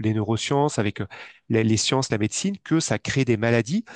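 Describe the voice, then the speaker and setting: With a quiet background and a dry sound without echo, a man talks at a moderate pace with ordinary pitch variation. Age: 40s. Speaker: financial advisor; interview guest, money coach. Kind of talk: interview. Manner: halting, many repetitions and fillers. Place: home room. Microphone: headset.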